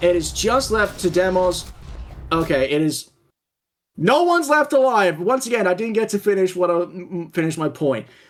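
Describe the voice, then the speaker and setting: Over music in the background, a man with a high voice speaks with very wide pitch swings. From Australia. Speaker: esports caster. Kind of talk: live commentary. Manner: animated.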